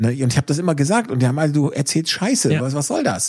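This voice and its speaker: Recorded very cleanly against a silent background, a man with a fairly high pitch and vocal fry talks at a very fast pace. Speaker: solar entrepreneur. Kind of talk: casual chat.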